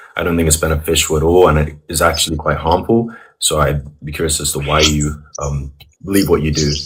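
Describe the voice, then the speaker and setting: Very deep and low in pitch, a man speaks at a fairly quick pace with fairly even intonation and a somewhat breathy quality. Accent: London. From England, London. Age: 20s. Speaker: caller. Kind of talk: heated debate. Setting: video call. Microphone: audio too quiet.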